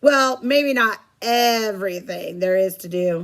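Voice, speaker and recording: Using a put-on character voice, a woman speaks at a fairly high pitch. Her pace is fairly slow, with ordinary pitch variation. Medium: read story.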